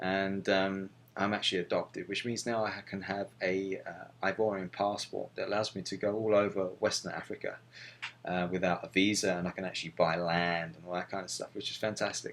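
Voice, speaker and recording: A man in a London accent at a fairly low pitch, with monotone, flat intonation and a fairly quick pace. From London, England. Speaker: missionary video blogger. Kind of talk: personal video journal. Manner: halting, many fillers.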